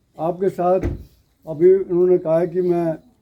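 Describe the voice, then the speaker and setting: Over music in the background, a man speaks at a high pitch. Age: 70s. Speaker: local host family elder speaking at religious event. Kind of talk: public speech to devotees.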